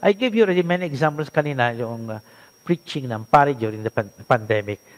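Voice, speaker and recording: A man speaks with very wide pitch swings, recorded with a dry, close sound and no echo. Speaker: priest and Bible teacher. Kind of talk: lecture.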